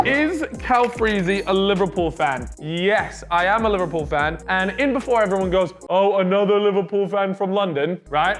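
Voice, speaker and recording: Over music in the background, a man with an American accent speaks in a high, animated voice at a moderate pace. His loudness stays very even, his pitch varies in an ordinary way, and he hardly pauses. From international schools abroad (Vietnam, Russia, Egypt, Scotland). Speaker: YouTuber. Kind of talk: casual chat.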